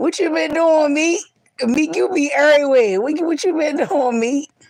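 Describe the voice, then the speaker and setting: Loud and high-pitched, a woman speaks. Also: ordinary pitch variation, moderate pace. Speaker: live streamer. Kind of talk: casual live stream chat. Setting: livestream, lying down.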